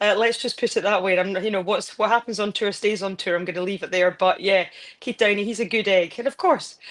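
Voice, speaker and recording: A woman's medium-pitched, very fast speech in a Scottish accent, with fairly even intonation. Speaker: football pundit and broadcaster. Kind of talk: casual interview chat.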